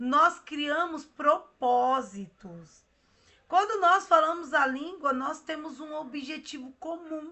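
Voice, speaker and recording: A woman at a high pitch, very slow pace, and ordinary pitch variation. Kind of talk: devotional meditation.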